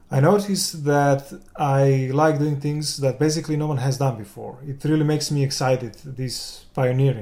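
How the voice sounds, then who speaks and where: This man has a Serbian accent and a fairly high pitch, his tone dark and mellow and somewhat breathy. He talks at a moderate pace with hardly any pauses and fairly even intonation. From Serbia, Belgrade. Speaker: game developer and concept artist. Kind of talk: interview.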